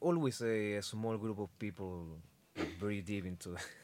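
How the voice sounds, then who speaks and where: In a very clean recording with a silent background, a man talks in a fairly low voice with a Spanish accent. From Chile. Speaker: metal musician. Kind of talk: casual chat. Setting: studio. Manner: halting.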